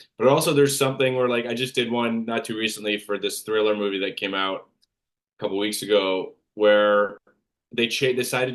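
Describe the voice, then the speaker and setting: Mumbled speech comes through with fairly even intonation. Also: man. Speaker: actor. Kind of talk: interview. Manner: mumbling; uneven pauses when ranting.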